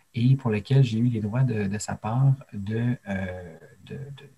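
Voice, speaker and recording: A dark, mellow, somewhat breathy tone with fairly even intonation. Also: man, dry, close sound with no echo. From Quebec, Abitibi-Témiscamingue. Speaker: storyteller. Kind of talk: interview. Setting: remote video call.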